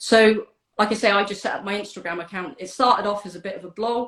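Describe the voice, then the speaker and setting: Speaking with a British accent, a woman keeps a fairly quick pace. Her pitch sits at a medium level with ordinary variation. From UK. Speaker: donor-conception advocate. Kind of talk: interview chat. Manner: hesitant, many fillers.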